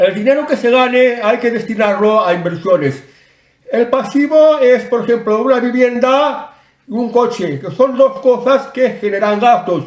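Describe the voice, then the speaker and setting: A man with an extremely high voice speaks at a fairly slow pace, his pitch varying in an ordinary way. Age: 60s. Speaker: online commentator. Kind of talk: advice talk to camera. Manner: casual, some hesitations.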